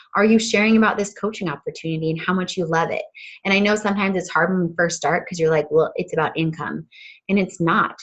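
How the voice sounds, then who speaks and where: Talking at a very fast pace, a woman has a medium pitch. Her voice is somewhat breathy and her intonation fairly even. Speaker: fitness coach team leader. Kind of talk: team training call.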